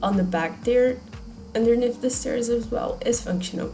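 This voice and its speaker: With a non-native accent, a woman speaks at a moderate pace amid audible room echo and music in the background. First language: not English. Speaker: video game YouTuber. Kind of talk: voiceover commentary on a speed build. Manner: halting, searching for words.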